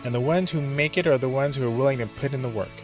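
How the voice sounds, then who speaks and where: A man speaks with music in the background. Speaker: podcast host, filmmaker. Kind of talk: podcast monologue.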